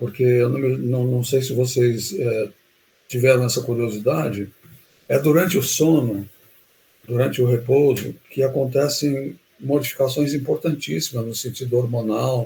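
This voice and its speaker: Somewhat breathy and dark, mellow in tone, a man of medium pitch speaks at a fairly slow pace with ordinary pitch variation. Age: 70s. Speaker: health educator. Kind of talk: live webinar talk. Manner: halting.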